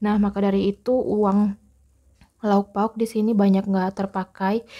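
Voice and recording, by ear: A soft-spoken woman talks at a fairly slow pace and medium pitch. Her pitch moves very little.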